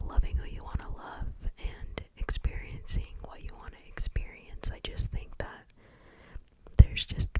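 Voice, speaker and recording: Someone whispers at a moderate pace. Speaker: ASMR creator. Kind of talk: ASMR whispered ramble. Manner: whispered.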